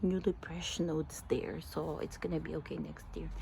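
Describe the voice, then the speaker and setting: A woman is speaking. Her voice is quiet. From Philippines. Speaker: gardening vlogger. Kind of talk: casual garden tour. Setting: outdoors in backyard. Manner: hesitant, many fillers.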